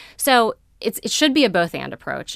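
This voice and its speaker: A woman talks at a fairly quick pace. The recording is very clean, with a silent background and a dry, close sound with no echo. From Maryland, Baltimore County. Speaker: nonprofit executive director. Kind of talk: radio interview.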